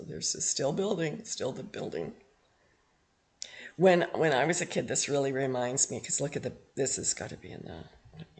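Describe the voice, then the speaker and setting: This man talks at a moderate pace in a western Canadian accent. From Canada, Edmonton Alberta. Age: 60s. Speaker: history video blogger. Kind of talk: casual narrated screen walkthrough. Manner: halting, self-correcting.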